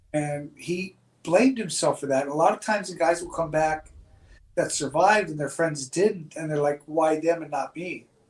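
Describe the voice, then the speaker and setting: A man with a normal speaking voice talks at a moderate pace, his fairly high pitch moving with ordinary variation while his loudness swings widely. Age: 60s. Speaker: podcast host. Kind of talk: casual chat.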